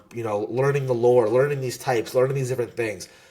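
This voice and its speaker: An animated, somewhat breathy man's voice at a medium pitch. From US, New Jersey. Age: 20s. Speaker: Pokemon content creator and competitor. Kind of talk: podcast interview.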